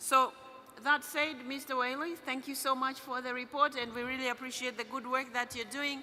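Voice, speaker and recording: At a moderate pace, a woman with a non-native accent speaks in a raised, projected voice, high in pitch and monotone, with flat intonation. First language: not English. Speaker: parliamentary assembly president chairing a meeting. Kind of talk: formal meeting chairing. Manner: halting, with fillers.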